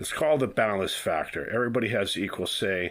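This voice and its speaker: A man with an American accent speaks at a fairly quick pace with lively intonation. The recording is very clean, with a silent background. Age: 60s. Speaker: self-declared presidential candidate. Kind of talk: monologue vlog. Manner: halting, repeated filler words.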